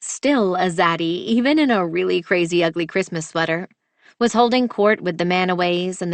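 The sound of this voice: An unforced reading voice with ordinary pitch variation, set against a quiet background.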